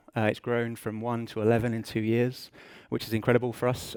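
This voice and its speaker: Speaking very fast with an English accent, a man is heard in a dry, close sound with no echo. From England. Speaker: business intelligence director. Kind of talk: conference talk. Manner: hesitant, many fillers.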